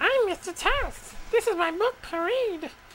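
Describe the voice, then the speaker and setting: In a put-on character voice, someone squeaks at an extremely high pitch and a fairly slow pace over clear background noise. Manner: cartoonish, goofy.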